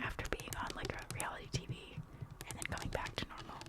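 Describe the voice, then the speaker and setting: A woman is whispering at a moderate pace. Noticeable background noise runs behind her. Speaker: ASMR creator. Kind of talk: whispered ASMR ramble. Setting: voiceover recorded over tapping and scratching. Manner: whispered, soft, chatty.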